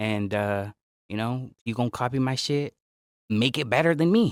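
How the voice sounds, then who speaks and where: A man with a Bay Area accent, recorded dry and close with no echo. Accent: Bay Area sound. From Northern California. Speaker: podcast host and rapper. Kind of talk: casual chat. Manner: animated.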